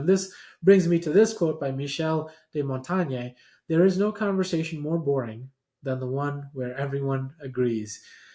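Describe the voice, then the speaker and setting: Recorded very cleanly over a silent background, a man speaks at a moderate pace in a fairly high, somewhat breathy voice. His tone is dark and mellow, with ordinary pitch variation. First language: not English. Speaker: professor and podcast host. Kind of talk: lecture-style presentation.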